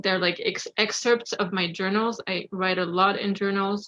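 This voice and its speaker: A woman with a French accent speaks at a medium pitch and moderate pace, her intonation fairly even. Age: 30s. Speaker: poet. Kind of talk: casual talk to audience. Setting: video call.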